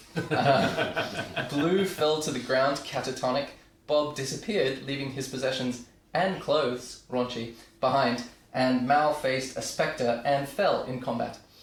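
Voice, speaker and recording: Against noticeable background noise, a man speaks at a fairly slow pace. His medium-pitched voice keeps fairly even intonation. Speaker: podcast host and dungeon master. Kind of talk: storyline recap narration.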